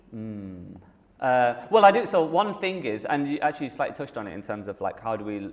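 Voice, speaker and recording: A man with a Manchester accent talks at a fairly quick pace, his pitch swinging very widely. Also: medium pitch for a man. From northern England, Manchester. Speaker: app company founder and CEO. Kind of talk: Q&A session.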